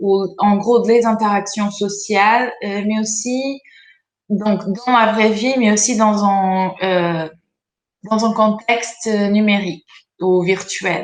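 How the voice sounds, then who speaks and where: Speaking at a very slow pace with long, frequent pauses, a woman with a non-native accent uses a fairly high pitch and fairly even intonation. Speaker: researcher. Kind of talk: presentation. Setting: video conference. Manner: hesitant, many fillers.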